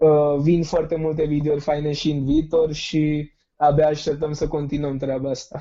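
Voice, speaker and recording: A man speaks at a moderate pace in a flat monotone, his pitch fairly high. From India. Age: 20s. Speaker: youth civic activist. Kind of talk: interview.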